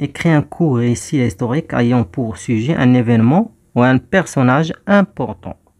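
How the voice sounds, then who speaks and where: A man with an unremarkable speaking voice talks at a fairly quick pace, with medium pitch, lively intonation and hardly any pauses. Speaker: teacher. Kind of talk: tutorial.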